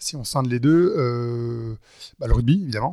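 Medium-pitched male speech, its intonation fairly even. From western France, Nantes. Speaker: wealth management entrepreneur. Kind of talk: interview conversation. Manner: hesitant, many fillers.

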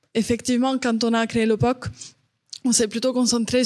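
A woman talks at a fairly high pitch. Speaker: startup founder. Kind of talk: panel discussion.

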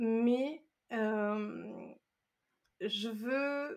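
Fairly even intonation in a woman's fairly high-pitched voice. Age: 30s. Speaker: self-compassion coach and meditation teacher. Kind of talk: casual interview. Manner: hesitant, many fillers and repetitions.

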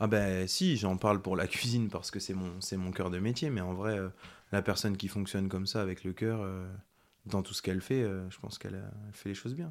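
In a normal speaking voice, a man talks at a fairly low pitch with fairly even intonation, on a very clean recording with a silent background. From Ardennes, France. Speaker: chef, cooking show winner. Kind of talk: casual interview.

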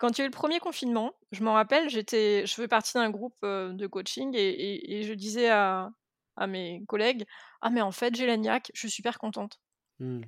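A woman with an ordinary speaking voice talks at a moderate pace with fairly high pitch and lively intonation, recorded with a dry, close sound with no echo. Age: 40s. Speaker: entrepreneur and web marketing consultant. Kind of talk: casual interview conversation.

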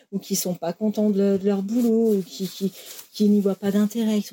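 Heard in a dry, close sound with no echo, a woman speaks at a medium pitch and a moderate pace. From France, Lyon area. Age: 40s. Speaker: former German teacher, factory worker. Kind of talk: interview testimony. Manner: halting, many repetitions and fillers.

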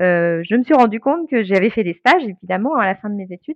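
Against a quiet background, a woman talks at a fairly quick pace with very wide pitch swings, in a dry, close sound with no echo. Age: 40s. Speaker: brand naming consultant. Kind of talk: interview.

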